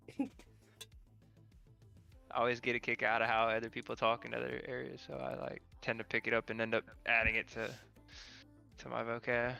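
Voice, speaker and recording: The speaker has a Southern US accent and a moderate pace. Music can be heard in the background. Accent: Southern American. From American South.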